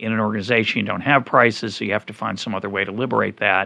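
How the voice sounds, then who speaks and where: A man's fairly low voice with a bright, sharp tone and vocal fry. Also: quiet background. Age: 50s. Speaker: podcast host, economist. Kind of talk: interview conversation.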